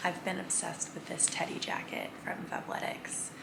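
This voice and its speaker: This woman talks at a moderate pace. Her voice carries audible room echo, and there is noticeable background noise. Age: 20s. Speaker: lifestyle vlogger. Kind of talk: casual vlog narration. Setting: in a car. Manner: whispering.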